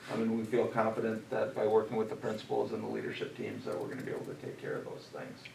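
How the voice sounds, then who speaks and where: With noticeable background noise and audible room echo, a man talks at a very fast pace with hardly any pauses. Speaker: school district administrator. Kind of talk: presentation at board meeting.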